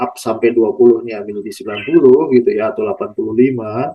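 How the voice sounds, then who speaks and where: An ordinary speaking voice: a man at medium pitch, fairly quick pace, ordinary pitch variation. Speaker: podcast host, plantation traction staff. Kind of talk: casual interview questions.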